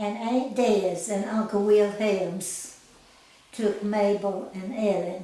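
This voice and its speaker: A woman with an Appalachian accent, medium pitch, a very slow pace and monotone, flat intonation, plus audible room echo and noticeable background noise. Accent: Southern US, Appalachian. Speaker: grandmother sharing life story. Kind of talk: oral history interview. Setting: at a house in the mountains.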